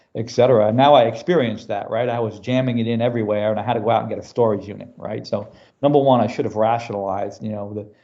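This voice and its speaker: In an American accent, a man talks at a very fast pace with a medium pitch and fairly even intonation. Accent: New York accent, stronger when passionate. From US Northeast, New York City. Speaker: business technology executive. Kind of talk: podcast interview. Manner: casual, filler-heavy.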